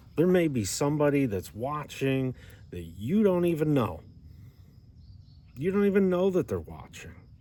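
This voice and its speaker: Long, frequent pauses break up a man's dark, mellow voice as his pitch swings very widely. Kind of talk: Bible teaching video. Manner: slow, deliberate.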